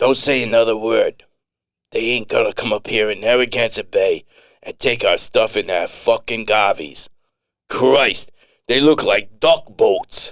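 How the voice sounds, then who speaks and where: Raspy put-on character voice from a man, moderate in pace. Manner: hushed.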